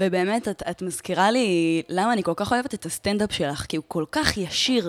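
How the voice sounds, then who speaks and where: A woman has a normal speaking voice at medium pitch with lively intonation. She talks at a moderate pace in a dry, close sound with no echo. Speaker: podcast host. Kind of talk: casual interview chat.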